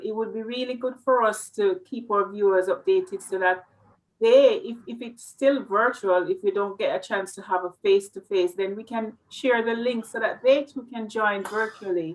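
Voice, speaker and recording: A woman speaks in a Jamaican accent at a fairly high pitch with ordinary pitch variation. Her loudness swings widely. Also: moderate pace. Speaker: interviewer. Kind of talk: interview.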